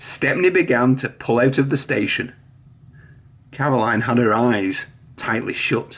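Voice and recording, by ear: A man at a fairly slow pace, medium pitch, lively intonation and a fairly bright tone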